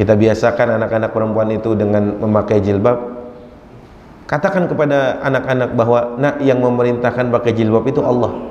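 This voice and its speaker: A man with a Jakarta accent at a fairly quick pace, very even in loudness and fairly even in intonation, with noticeable background noise and audible room echo. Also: medium pitch for a man. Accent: Betawi dialect. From Jakarta, Indonesia (Betawi). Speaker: Islamic preacher. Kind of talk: religious lecture. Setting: mosque with audience. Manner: conversational, addresses audience.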